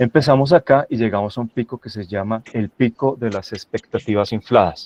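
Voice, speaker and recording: Dry and close with no echo, a man's medium-pitched voice moves at a moderate pace with fairly even intonation. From Colombia, Santa Rosa de Cabal (Risaralda, paisa region). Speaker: university professor, guest speaker on AI. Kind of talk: lecture presentation. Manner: hesitant fillers, repeats words.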